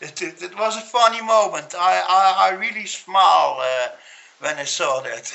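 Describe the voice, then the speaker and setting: Someone with a Dutch accent speaks at a moderate pace against noticeable background noise. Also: man. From Netherlands. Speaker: MMA pundit. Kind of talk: casual discussion. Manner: halting.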